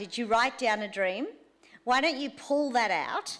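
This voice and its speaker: The woman's voice shows ordinary pitch variation. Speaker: church teacher leading a course. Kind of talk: teaching session. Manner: loud.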